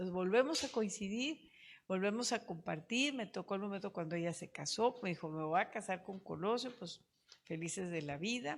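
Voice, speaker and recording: A woman has an unremarkable speaking voice at medium pitch with ordinary pitch variation, going at a fairly quick pace. The recording is very clean, with a silent background. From Monterrey, northern Mexico. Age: 60s. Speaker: politician, mayor. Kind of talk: interview, personal storytelling.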